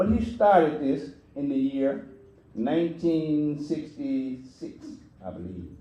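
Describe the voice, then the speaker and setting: In a room with audible echo, a man speaks very slowly in a fairly high voice with a dark, mellow tone and very wide pitch swings. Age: 80s+. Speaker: community elder speaker. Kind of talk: speech to audience. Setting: church.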